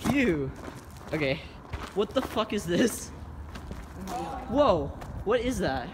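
Over noticeable background noise, a man speaks at a very slow pace with very wide pitch swings. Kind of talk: casual vlog chat. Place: tunnel cave. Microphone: phone near.

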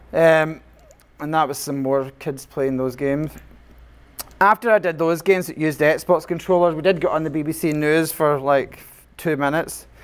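Fairly high-pitched man with a Scottish accent, fairly even intonation and a moderate pace. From Scotland. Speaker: computer science teacher. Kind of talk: conference presentation.

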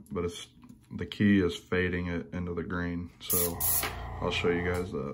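This man has an American accent and a very deep, low pitch. He talks at a moderate pace over light background noise. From Indiana. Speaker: lure painter. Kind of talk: tutorial. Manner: casual, hesitant with many fillers. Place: home room. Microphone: phone near.

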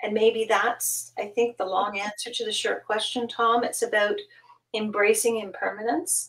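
An unremarkable speaking voice with a Canadian accent, over a quiet background. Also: woman, fairly high pitch for a woman, ordinary pitch variation, moderate pace. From Canada. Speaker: guest. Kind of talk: casual chat. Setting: video call. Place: home room.

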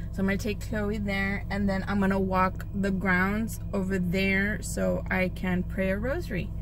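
Against noticeable background noise, a woman speaks at very even loudness in a dry sound with no echo. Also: moderate pace, hardly any pauses. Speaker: vlogger. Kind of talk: casual vlog chat. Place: car. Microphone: phone near.

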